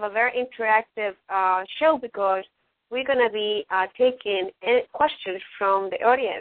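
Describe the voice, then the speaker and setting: A woman with a Latin American accent, fairly high in pitch, at a moderate pace with ordinary pitch variation. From Ecuador. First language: Spanish. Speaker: radio host. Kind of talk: casual talk show hosting. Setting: online radio show.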